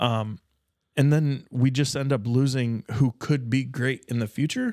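A plain, everyday voice from a man with an American accent, medium in pitch with ordinary variation, at a fairly slow pace, in a dry, close, very clean recording with a silent background. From rural Nebraska. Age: 30s. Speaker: podcast co-host. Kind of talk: casual chat.

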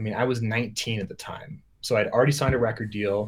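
A man talks at a moderate pace with a medium pitch. His voice is somewhat breathy. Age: 30s. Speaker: music producer and sample library developer. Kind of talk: casual chat. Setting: video call.

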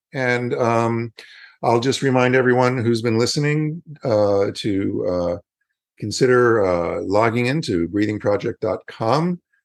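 This is a plain, everyday voice. A man speaks at medium pitch with ordinary pitch variation and a fairly slow pace. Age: 60s. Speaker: yoga educator and podcast host. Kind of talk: promotional outro; interview.

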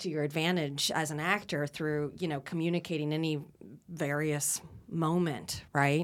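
A woman with a plain, everyday voice, fairly low in pitch, speaks at a moderate pace on a very clean recording with a silent background. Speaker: communication teacher and actor. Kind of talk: casual chat.

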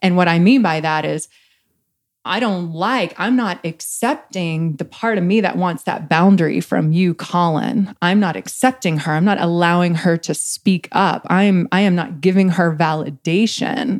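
A woman talks at a moderate pace in a plain, everyday voice, fairly low in pitch with ordinary pitch variation. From East Texas. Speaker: relationship coach. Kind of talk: casual chat.

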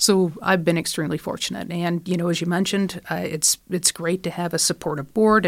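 Fairly low-pitched, a woman with a plain, everyday voice and an American accent, fairly even intonation and a fairly quick pace, on a very clean recording with a silent background. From Michigan. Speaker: college president. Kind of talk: interview.

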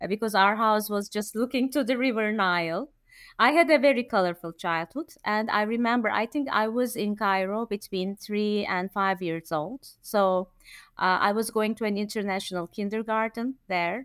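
A woman with a Turkish accent, fairly high pitch, ordinary pitch variation and a moderate pace. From Turkey. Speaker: event planner. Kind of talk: casual chat. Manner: halting.

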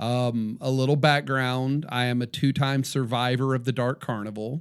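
This man speaks at a fairly slow pace with a medium pitch. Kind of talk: casual chat. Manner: animated.

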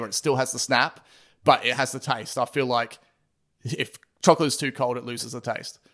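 Over a very clean recording with a silent background, a man with an Australian accent talks at a fairly quick pace in a medium pitch, using fairly even intonation and a bright, sharp tone. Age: 30s. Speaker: podcast host and drummer, designer. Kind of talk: casual chat.

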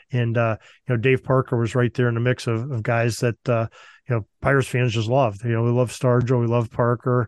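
In an American accent, a man talks at a fairly quick pace with monotone, flat intonation and very even loudness, the sound dry and close with no echo. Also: medium pitch for a man, quiet background. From Western Pennsylvania. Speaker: sports history podcast host. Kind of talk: interview.

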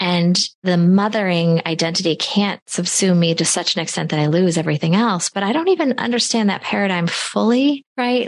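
At a fairly quick pace, a woman with an unremarkable speaking voice talks with lively intonation. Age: 40s. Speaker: podcast host and solo mother, investment firm owner. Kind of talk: casual interview.

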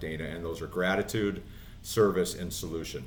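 Audible room echo surrounds a man's voice. He speaks at a fairly quick pace. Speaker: inspirational speaker and former inmate in recovery. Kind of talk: interview testimony. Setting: studio.

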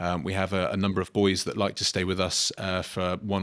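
Over a silent background on a very clean recording, a man speaks at a moderate pace in a very deep, low pitch with monotone, flat intonation. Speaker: boarding house head. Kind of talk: interview answers.

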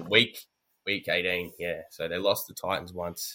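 A man with an Australian accent talks at a moderate pace in a bright, sharp tone. The recording is very clean, with a silent background. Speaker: sports podcast host. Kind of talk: casual chat.

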